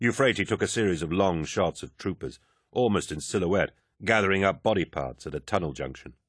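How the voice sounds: The background is quiet. A natural reading voice is heard.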